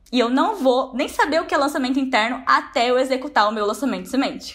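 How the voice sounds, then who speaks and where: A woman talks at a very fast pace with a high pitch. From Brazil, Braúna (São Paulo interior). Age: 20s. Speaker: online course entrepreneur. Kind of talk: testimony.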